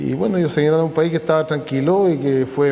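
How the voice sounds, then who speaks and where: A man's voice, showing ordinary pitch variation, carries audible room echo. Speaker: interviewee, descendant of immigrants. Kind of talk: interview testimony.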